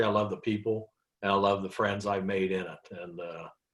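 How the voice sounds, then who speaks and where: A man with a fairly low pitch speaks in an American accent. He has a plain, everyday voice and keeps a moderate pace. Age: 60s. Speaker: trucking company owner. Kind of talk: casual chat.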